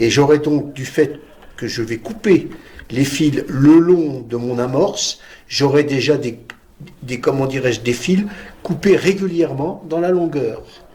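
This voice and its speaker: Over noticeable background noise, a man speaks in a calm tone at a fairly slow pace. His pitch is fairly high, with ordinary pitch variation. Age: 70s. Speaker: master weaver. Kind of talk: demonstration tutorial. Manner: calm, explanatory with hesitations.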